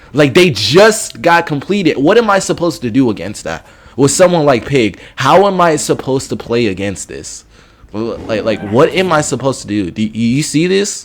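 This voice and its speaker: A loud man with a fairly high pitch, very wide pitch swings and vocal fry, at a moderate pace. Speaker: gaming youtuber and streamer. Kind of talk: gameplay commentary. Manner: halting, repetitive stammering.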